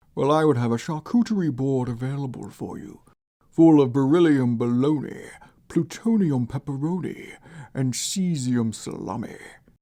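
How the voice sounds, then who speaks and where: A put-on character voice at a low-to-middle pitch carries a menacing tone. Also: moderate pace. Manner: menacing, short-tempered.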